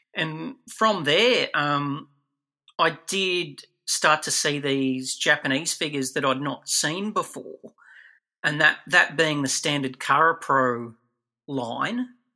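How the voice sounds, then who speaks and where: An Australian accent from a man with a fairly high pitch and a bright, sharp tone, at a very slow pace on a very clean recording with a silent background. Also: ordinary pitch variation. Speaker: toy collector and figure producer. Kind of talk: interview.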